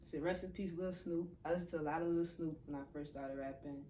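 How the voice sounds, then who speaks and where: A woman with an American accent speaks in a monotone, flat intonation, with audible room echo and noticeable background noise. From New Orleans, US South. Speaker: rapper. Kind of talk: interview. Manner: casual.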